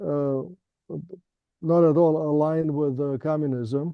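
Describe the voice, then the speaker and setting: The speaker talks at a fairly slow pace with a Romanian accent. The intonation stays fairly even. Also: man. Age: 70s. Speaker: professor. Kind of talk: interview. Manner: halting, many fillers.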